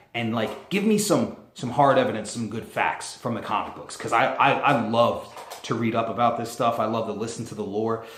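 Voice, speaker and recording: A man with a medium-pitched voice talks with hardly any pauses, and audible room echo surrounds him. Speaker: YouTuber. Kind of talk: casual vlog commentary. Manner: fast; animated.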